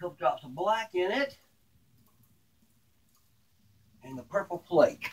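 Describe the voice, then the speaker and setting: Amid noticeable background noise, a man speaks at a fairly slow pace. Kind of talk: tutorial. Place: workshop. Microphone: phone near.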